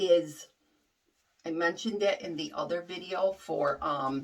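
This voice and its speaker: A woman speaks loudly at a medium pitch. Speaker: wig reviewer. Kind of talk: product review tutorial. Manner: casual, hesitant with fillers.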